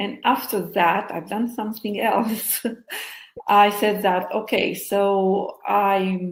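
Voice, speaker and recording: This woman's voice is somewhat breathy. She keeps a medium pitch and fairly even intonation. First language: not English. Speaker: hypnotherapist and co-author. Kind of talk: interview, personal story. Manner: halting, with fillers.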